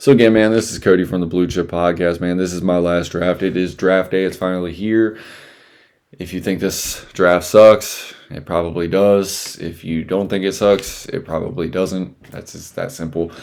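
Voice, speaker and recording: A mumbling man with a very deep, low pitch, fairly even intonation, big swings in loudness, and a moderate pace. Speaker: podcast host. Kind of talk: solo podcast, NFL mock draft talk. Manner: mumbling, rambling; casual.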